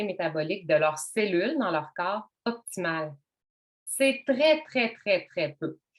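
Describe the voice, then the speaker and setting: A woman with a Quebec accent, fairly slow in pace, with lively intonation. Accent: Québécois French. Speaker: wellness workshop host. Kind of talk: online workshop presentation. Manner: casual, conversational.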